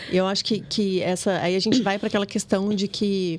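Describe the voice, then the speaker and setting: A woman speaks at a moderate pace in an unremarkable speaking voice of medium pitch. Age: 20s. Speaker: podcast co-host. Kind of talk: casual chat.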